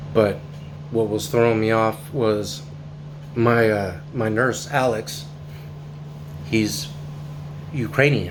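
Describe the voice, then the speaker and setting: A man with an American accent, fairly low in pitch with very wide pitch swings, at a very slow pace with long, frequent pauses, amid audible room echo and noticeable background noise. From northern California. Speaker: covid survivor vlogger. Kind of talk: personal testimony. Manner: casual, with many fillers.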